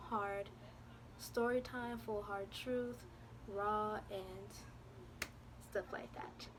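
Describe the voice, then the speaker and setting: Over noticeable background noise and audible room echo, a woman speaks at a medium pitch with lively intonation. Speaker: vlogger. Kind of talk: storytime vlog. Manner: stuttering, halting with fillers.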